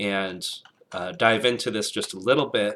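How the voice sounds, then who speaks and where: The man's pitch varies in a normal, ordinary way. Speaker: book vlogger. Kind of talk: casual talk to camera. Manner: slow; halting, with pauses.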